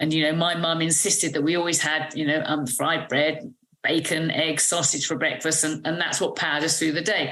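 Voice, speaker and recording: Audible room echo surrounds a woman speaking at a fairly low pitch with a British accent. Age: 60s. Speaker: medical doctor. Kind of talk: interview. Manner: hesitant with fillers.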